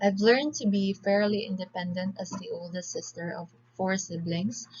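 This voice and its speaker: A woman speaks with a Filipino accent. Noticeable background noise runs underneath. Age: 20s. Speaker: civil engineering student. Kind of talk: class presentation. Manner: formal.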